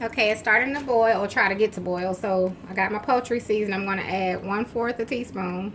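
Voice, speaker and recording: A woman with a fairly high pitch talks at a fairly quick pace with hardly any pauses and fairly even intonation, over noticeable background noise. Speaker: home cooking channel host. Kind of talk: cooking tutorial. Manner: casual, chatty with fillers.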